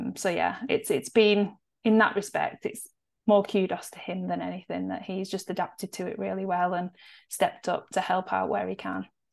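In a northwest English accent, a woman talks at a moderate pace. Her loudness swings widely over a quiet background. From northwest England. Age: 40s. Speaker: nutritionist and podcast co-host. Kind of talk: casual chat.

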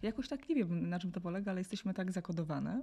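Over a quiet background, a woman talks at a very fast pace in a dark, mellow, somewhat breathy tone, her medium pitch showing ordinary variation. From Poland, small town. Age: 40s. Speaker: journalist and podcast host. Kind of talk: interview.

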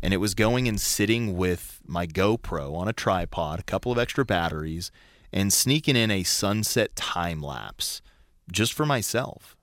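Speaking at a moderate pace in a plain, everyday voice, a man with an American accent has a fairly low pitch and lively intonation. The recording is very clean, with a silent background. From Colorado. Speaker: radio host. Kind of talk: casual chat. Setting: studio.

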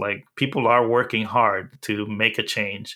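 A man's fairly low, monotone voice with flat intonation at a moderate pace. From Dominican Republic, then New York City from age eleven. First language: Spanish. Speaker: accessibility specialist. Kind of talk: interview.

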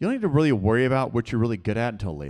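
This recording is very clean, with a silent background. The voice belongs to a man. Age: 30s. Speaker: pastor. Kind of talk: sermon. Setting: church.

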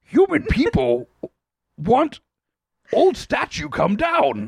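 In a put-on character voice, the speaker goes at a very slow pace. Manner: broken, stilted speech.

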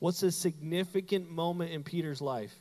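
His pitch shifts in an ordinary manner. The voice belongs to a man. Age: 30s. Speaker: pastor. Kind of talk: sermon. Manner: animated.

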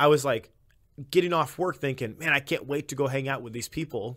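On a very clean recording with a silent background, a man with an American accent speaks with ordinary pitch variation. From Illinois. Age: 20s. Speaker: podcast host. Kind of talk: testimony.

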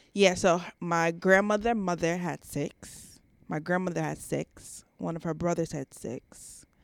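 Over a silent background in a very clean recording, a woman with a normal speaking voice and an American accent talks at a fairly slow pace, her fairly low pitch held in fairly even intonation while her loudness takes big swings. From New York (Queens/Long Island). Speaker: esthetician and entrepreneur. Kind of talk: casual interview chat.

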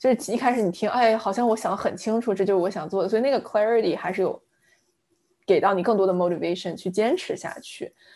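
Talking at a very fast pace, a woman has a fairly high pitch and a dark, mellow tone. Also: ordinary pitch variation. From southern China, Fujian. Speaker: product manager. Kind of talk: interview conversation. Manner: hesitant with fillers.

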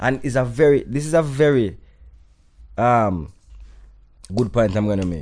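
A man in a Jamaican accent, lively intonation, long and frequent pauses. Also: medium pitch for a man, moderate pace. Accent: Jamaican patois-inflected English. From Jamaica, raised in New York. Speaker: dancehall artist. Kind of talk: casual interview chat.

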